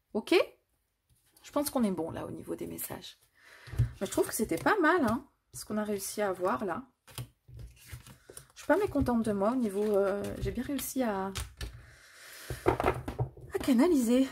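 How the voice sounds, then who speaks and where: Fairly high female voice with very wide pitch swings, big swings in loudness, a fairly slow pace and long, frequent pauses. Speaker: tarot card reader. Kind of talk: tarot reading.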